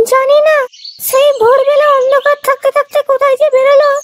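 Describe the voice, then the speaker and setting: In a cartoonish character voice, a woman speaks at an extremely high pitch and a moderate pace, her intonation monotone and flat, her loudness very even, and the sound dry and close with no echo. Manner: indignant, snappy.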